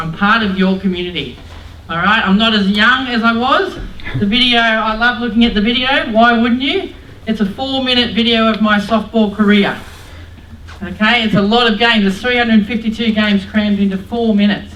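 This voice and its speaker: Amid noticeable background noise and audible room echo, a woman speaks with an Australian accent and an animated tone. Her pitch is fairly high with ordinary pitch variation, and her pace is fairly quick. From Australia, New South Wales (Mount Druitt, Sydney). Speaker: former Olympic softball player and PE teacher, motivational speaker. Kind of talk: motivational talk to students. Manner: loud.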